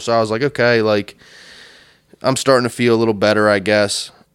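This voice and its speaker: With a normal speaking voice, a man talks at a medium pitch and a fairly quick pace. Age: 30s. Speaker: union pipefitter. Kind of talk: casual chat.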